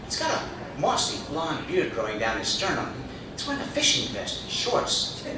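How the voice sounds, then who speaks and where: Noticeable background noise under a man's moderate-paced speech with very wide pitch swings. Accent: American. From Boston. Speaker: storyteller and comedian. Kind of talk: first-person comedic travel story.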